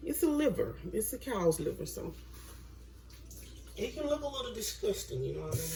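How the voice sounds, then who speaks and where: A woman with a Mississippi accent at a fairly quick pace, long, frequent pauses, and noticeable background noise. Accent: Southern US (Mississippi). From US South, Mississippi. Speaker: home cooking vlogger. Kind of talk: cooking tutorial. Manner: casual, chatty.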